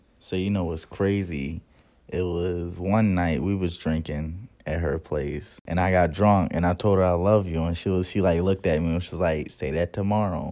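A man speaks at a moderate pace in a very deep, low voice. His tone is dark and mellow, and the background is quiet. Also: fairly even intonation. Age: 20s. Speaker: podcast co-host. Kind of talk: casual chat.

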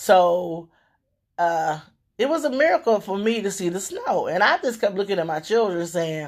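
A woman with a Southern US accent speaks in an animated tone at a fairly slow pace and medium pitch, in a very clean recording with a silent background. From Louisiana. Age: 50s. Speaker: radio host. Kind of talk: casual monologue.

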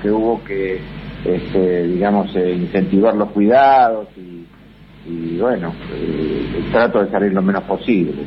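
There is noticeable background noise. A man speaks at a very slow pace. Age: 70s. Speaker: musician. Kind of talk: interview. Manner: halting.

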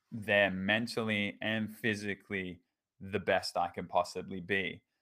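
Speaking at a fairly slow pace, a man with a fairly low voice talks in an Australian accent. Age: 20s. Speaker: teacher. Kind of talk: casual chat.

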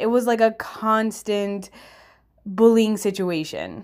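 In a very clean recording with a silent background, a woman with a fairly high pitch talks at a fairly slow pace in an animated tone. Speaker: podcast host. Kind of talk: casual storytelling monologue. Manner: animated, casual.

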